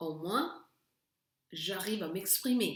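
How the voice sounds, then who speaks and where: A woman speaks very slowly with a Spanish accent. Her pitch is medium and varies in an ordinary way. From Honduras. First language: Spanish (speaking French). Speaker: teacher. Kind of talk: lesson with personal story.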